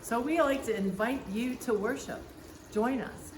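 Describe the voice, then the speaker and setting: Noticeable background noise and audible room echo surround this recording. A woman speaks at a fairly slow pace with lively intonation. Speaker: pastor. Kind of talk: church welcome address. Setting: outdoors by a fountain. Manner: projecting loudly.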